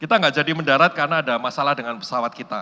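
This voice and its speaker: A man speaks in an animated, bright, sharp tone. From Indonesia, Surabaya (East Java). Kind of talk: sermon. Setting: church hall with audience.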